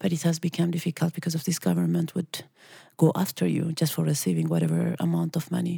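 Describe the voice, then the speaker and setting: The speech comes at a very fast pace with a dry, close sound and no echo. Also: woman. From Eritrea. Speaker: refugee rights activist. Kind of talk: interview. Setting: recorded at a conference.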